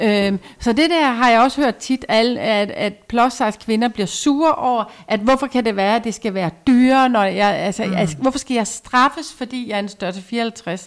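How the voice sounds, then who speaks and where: A woman speaks with hardly any pauses in a normal speaking voice, her fairly high pitch showing ordinary variation. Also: moderate pace. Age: 50s. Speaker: clothing stylist. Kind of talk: casual chat. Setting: at home.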